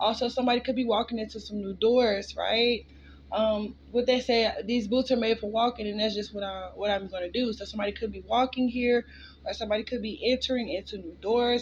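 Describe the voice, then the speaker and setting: Fairly quick delivery, somewhat breathy, with fairly even intonation. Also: woman. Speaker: tarot reader. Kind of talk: collective tarot reading. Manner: casual, filler-heavy.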